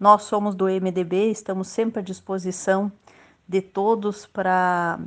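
With a quiet background, a woman's speech unfolds very slowly. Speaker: local politician. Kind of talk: radio interview.

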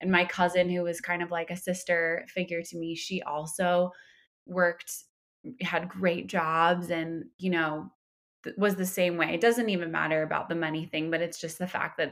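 A woman with an American accent, a normal speaking voice and fairly low pitch, at a moderate pace with fairly even intonation, in a very clean recording with a silent background. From New York, Westchester County. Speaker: entrepreneur, social media consultant. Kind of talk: casual interview chat.

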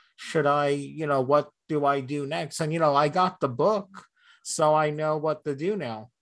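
A plain, everyday voice moves at a fairly slow pace. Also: man. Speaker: podcast co-host. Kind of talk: casual chat.

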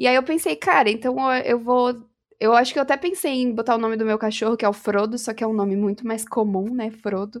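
Speaking at a fairly quick pace in a normal speaking voice, a woman with a fairly high pitch shows ordinary pitch variation. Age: 20s. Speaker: gamer and influencer. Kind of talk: casual chat.

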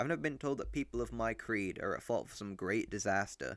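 Recorded very cleanly with a silent background, a man speaks in an English accent at a fairly quick pace. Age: young. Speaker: podcast host. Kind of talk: solo monologue. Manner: animated.

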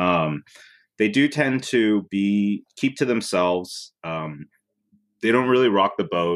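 At a very slow pace, a man with an American accent speaks with lively intonation on a very clean recording with a silent background. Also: fairly low pitch for a man. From US West Coast, Oakland. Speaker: filmmaker. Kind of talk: interview.

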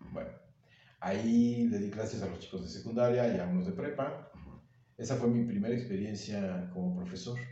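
A man's somewhat breathy, medium-pitched voice with ordinary pitch variation at a moderate pace, with audible room echo. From Mexico, Veracruz (Agua Dulce). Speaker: actor, director and teacher. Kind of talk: casual chat.

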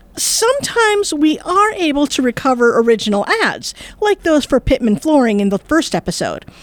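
A high-pitched woman talks with very wide pitch swings, very even loudness and hardly any pauses. The sound is dry and close with no echo, though noticeable background noise is present. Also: moderate pace. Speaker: podcast host. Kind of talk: casual chat, scripted intro.

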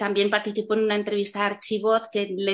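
This is a woman speaking. She has a Castilian accent. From Spain. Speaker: panel moderator. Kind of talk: panel moderation. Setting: video call.

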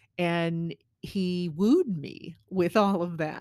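A woman's unremarkable speaking voice, fairly low in pitch, with fairly even intonation in a very clean recording against a silent background. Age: 50s. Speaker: podcast co-host. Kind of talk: casual chat.

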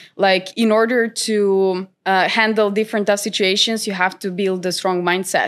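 On a very clean recording with a silent background, the speaker uses a Macedonian accent, a moderate pace, and monotone, flat intonation. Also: woman. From North Macedonia. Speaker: trader and content creator. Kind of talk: interview. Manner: hesitant, many fillers.

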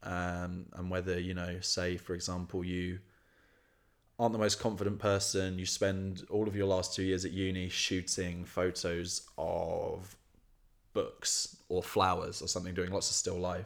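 In a southern English accent, a man speaks at a fairly slow pace with a very deep, low pitch and monotone, flat intonation on a very clean recording with a silent background. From Kent, southeast England. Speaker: photographer and photography student. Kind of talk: casual interview chat.

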